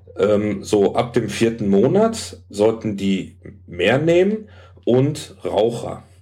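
A man at a very slow pace, medium pitch and dark, mellow tone, with lively intonation, very even loudness and audible room echo. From Hamburg, northern Germany. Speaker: health food shop salesman. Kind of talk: casual chat.

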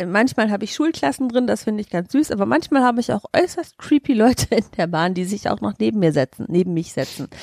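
A woman at medium pitch speaks very fast with hardly any pauses and very wide pitch swings, in a dry, close sound with no echo. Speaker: podcast co-host. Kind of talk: casual chat.

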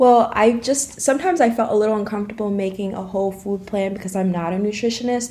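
Very fast speech in an American accent with hardly any pauses and noticeable background noise. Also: woman, ordinary pitch variation. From US Northeast (Dutchess County, New York). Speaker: recent college graduate, fitness enthusiast. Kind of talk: interview.

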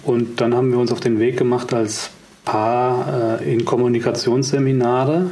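A man's fairly slow speech at a medium pitch, with fairly even intonation and very even loudness, amid audible room echo and noticeable background noise. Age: 40s. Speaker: communication coach. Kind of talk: casual chat.

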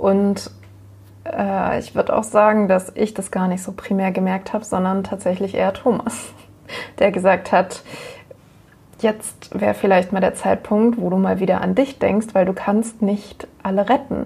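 A woman speaks at a fairly slow pace in an ordinary speaking voice. Her intonation stays fairly even. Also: medium pitch for a woman. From northern Germany, Hamburg. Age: 20s. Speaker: nurse living with MS. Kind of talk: interview, personal testimony.

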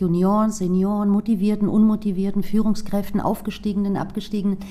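A woman with a Greek accent speaks at medium pitch. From Frankfurt am Main, Germany. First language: Greek (speaking German). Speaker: sales trainer and former startup founder. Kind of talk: interview.

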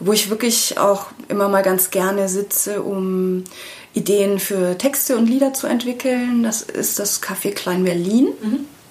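Amid noticeable background noise, a woman with a medium pitch and ordinary pitch variation speaks at a fairly slow pace. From Bavaria, small town. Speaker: singer-songwriter. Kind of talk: casual interview.

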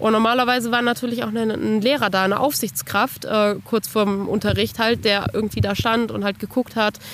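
Fairly quick with fairly even intonation, a woman speaks in a plain, everyday voice. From Germany, northern Hesse (Bad Arolsen). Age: 20s. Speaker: children's book author. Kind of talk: personal testimony interview. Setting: outdoors on a bench.

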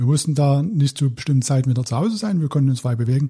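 A man talks in a dark, mellow tone that is somewhat breathy. He has a slight Saxon accent. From Saxony, Dresden. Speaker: former stuntman and paramedic. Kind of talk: interview testimony. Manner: halting.

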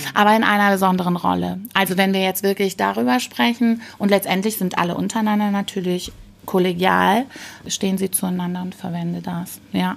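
A woman at a fairly quick pace, medium pitch and ordinary pitch variation. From Rhineland, western Germany. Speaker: corporate change facilitator. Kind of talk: interview. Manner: hesitant fillers.

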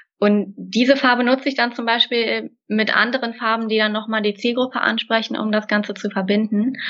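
A woman speaks with a fairly high pitch at a moderate pace. Her intonation stays fairly even. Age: 20s. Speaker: graphic designer. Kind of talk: interview. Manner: hesitant fillers.

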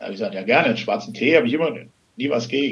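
Here a man talks with very wide swings in pitch. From Hesse, Germany. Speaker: financial and succession planner. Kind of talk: interview. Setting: phone call.

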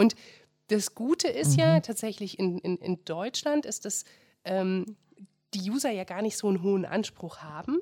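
Lively intonation with a dark, mellow tone, at a moderate pace, with long, frequent pauses and a dry, close sound with no echo. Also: woman, medium pitch for a woman. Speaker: podcast host. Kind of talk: casual interview.

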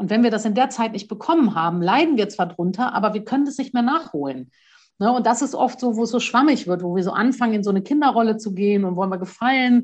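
Her voice somewhat breathy and fairly high, a woman speaks at a very fast pace with lively intonation. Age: 40s. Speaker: courage trainer and author. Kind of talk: casual interview.

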